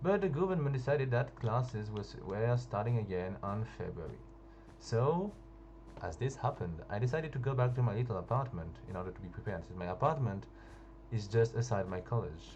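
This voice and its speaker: A man with a French accent talks at a fairly quick pace with lively intonation and a medium pitch, with audible room echo. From France. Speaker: gaming youtuber. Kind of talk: casual storytelling over gameplay. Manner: halting, hesitant.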